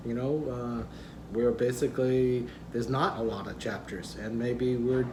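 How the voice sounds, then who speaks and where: Room echo is audible around a man's voice, along with noticeable background noise. He speaks at a fairly slow pace. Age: 60s. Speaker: vlogger. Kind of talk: casual vlog talk. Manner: conversational, hesitant fillers.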